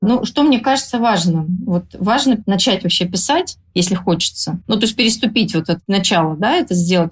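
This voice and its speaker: Somewhat breathy and medium in pitch, a woman's voice moves at a fairly quick pace. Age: 40s. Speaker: blogger and writer. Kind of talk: podcast interview.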